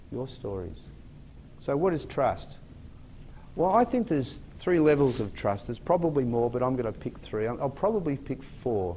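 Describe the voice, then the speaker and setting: Dark and mellow in tone, a man with an Australian accent speaks at a moderate pace and medium pitch with very wide pitch swings. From Australia, Sydney. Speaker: motivational speaker. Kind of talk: keynote talk to an audience.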